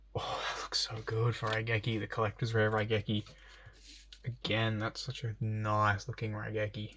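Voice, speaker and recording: Here a man speaks at a fairly low pitch in a bright, sharp tone. His intonation is monotone and flat. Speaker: YouTuber opening trading card packs. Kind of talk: casual unboxing commentary. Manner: fast.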